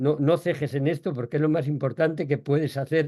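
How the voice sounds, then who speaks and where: A man speaks with a dark, mellow tone. His pitch is fairly high. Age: 70s. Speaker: author and food policy expert. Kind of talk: answering audience questions. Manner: halting, with repetitions.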